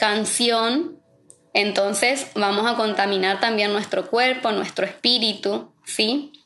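Music plays in the background as a woman speaks at a very slow pace. Her pitch is fairly high. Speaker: pastor's wife and preacher. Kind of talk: sermon. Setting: online livestream.

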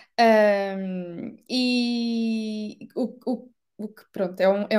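A woman speaks with a European Portuguese accent. Her fairly high pitch stays on a fairly even intonation. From Portugal. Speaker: digital marketing manager. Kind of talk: interview.

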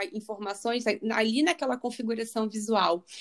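This woman has a normal speaking voice with fairly high pitch and ordinary pitch variation. She talks at a moderate pace on a very clean recording with a silent background. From Rio de Janeiro, Brazil. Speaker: spiritual coach and biologist. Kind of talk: interview.

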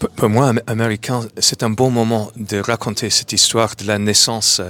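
Fairly slow, fairly even speech in an English accent. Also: man. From New York, US. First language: English (speaking French). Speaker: comic book writer. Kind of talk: interview. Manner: halting.

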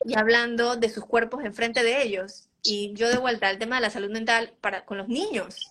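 At a moderate pace, a woman speaks with a fairly high pitch, a bright, sharp tone and fairly even intonation. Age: 30s. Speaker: nutritionist. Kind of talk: interview.

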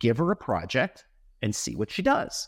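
The recording is very clean, with a silent background. A man's delivery is fairly slow. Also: dry, close sound with no echo. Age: 50s. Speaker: company founder and president. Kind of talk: interview conversation.

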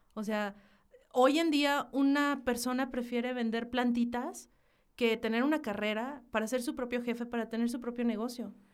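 High-pitched, a woman speaks at a moderate pace with fairly even intonation. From northern Mexico, Hidalgo del Parral, Chihuahua. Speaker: graphic designer and marketing professional. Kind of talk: casual interview chat.

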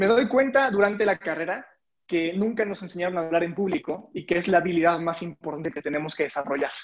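At a very fast pace, a man speaks in a high pitch with ordinary variation. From Mexico, Puebla. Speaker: public speaking coach. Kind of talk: casual interview.

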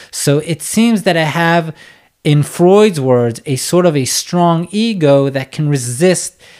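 In a very clean recording with a silent background, a man speaks in a calm tone at a fairly slow pace, his pitch swinging very widely. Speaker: psychotherapist and podcast host. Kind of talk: solo educational podcast. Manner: slow-paced; calm, unhurried.

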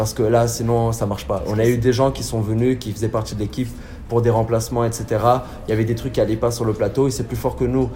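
Over noticeable background noise, a man talks very fast in a flat monotone. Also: medium pitch for a man. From southern France. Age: 20s. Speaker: theatre director and actor. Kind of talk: casual interview.

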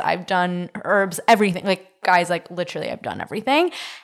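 In a very clean recording with a silent background, a woman talks in an unremarkable speaking voice with a Canadian accent, her pitch medium and its variation ordinary. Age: 20s. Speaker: podcast host. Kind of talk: casual chat.

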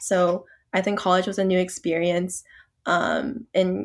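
On a very clean recording with a silent background, a woman with an American accent talks at a medium pitch with vocal fry. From US South, Atlanta, Georgia. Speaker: nursing student. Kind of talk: interview. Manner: frequent filler hesitations.

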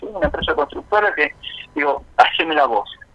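A man speaks over noticeable background noise. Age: 40s. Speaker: spiritual consultant. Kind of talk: radio interview. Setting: phone call. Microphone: poor phone connection.

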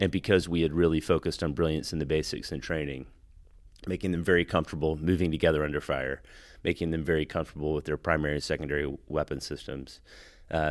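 A man with an American accent talks very fast in a very deep, low voice with vocal fry and monotone, flat intonation, on a very clean recording with a silent background. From Texas. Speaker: Marine veteran and software executive. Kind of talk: interview. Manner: halting, many fillers and repeated words.

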